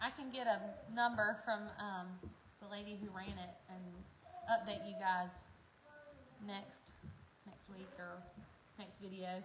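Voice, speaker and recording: A woman at a medium pitch and a fairly slow pace, with fairly even intonation, big swings in loudness, long, frequent pauses and audible room echo. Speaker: farming vlogger. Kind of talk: casual chat.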